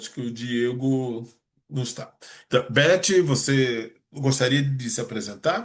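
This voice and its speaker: At a very slow pace and medium pitch, a man speaks with ordinary pitch variation and big swings in loudness. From Rio de Janeiro, Brazil. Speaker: meeting host, entrepreneur. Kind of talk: online meeting introduction. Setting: video call.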